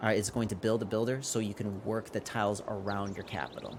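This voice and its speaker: The man's fairly low pitch carries a fairly even intonation. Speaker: gaming youtuber. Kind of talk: gameplay commentary tutorial. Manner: casual, filler-heavy; fast.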